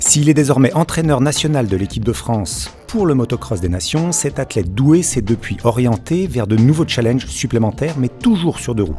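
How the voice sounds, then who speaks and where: The voice moves at a moderate pace with very wide pitch swings. Music plays in the background. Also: man. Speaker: podcast host. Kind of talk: podcast intro narration.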